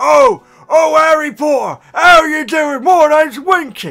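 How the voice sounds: Put-on character voice from a man, extremely high-pitched, delivered at a fairly slow pace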